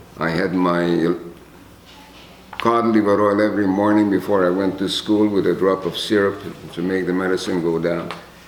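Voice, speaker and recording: With a Hungarian accent, a man speaks at a moderate pace in a very deep, low pitch and monotone, flat intonation, leaving long, frequent pauses. Audible room echo and noticeable background noise fill the recording. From Czechoslovakia, ethnic Hungarian. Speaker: Holocaust survivor. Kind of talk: testimony.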